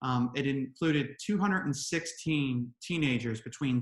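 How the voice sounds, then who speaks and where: At a fairly slow pace, a man speaks in a fairly high, somewhat breathy voice with ordinary pitch variation. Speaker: presenter on smoking cessation medicine. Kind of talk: webinar presentation.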